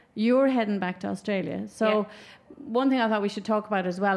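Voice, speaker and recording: A woman speaks with an Irish accent and ordinary pitch variation. The recording is very clean, with a silent background. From Ireland. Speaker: podcast host. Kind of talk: casual chat. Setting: live outdoor event.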